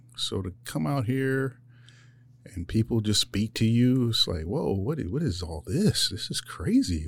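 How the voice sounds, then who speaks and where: A man speaks at a fairly slow pace with an American accent, his pitch swinging very widely. His voice is somewhat breathy, and the recording is very clean with a silent background. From Philadelphia, US. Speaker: weapons operator, Marine veteran. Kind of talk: interview. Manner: casual, halting.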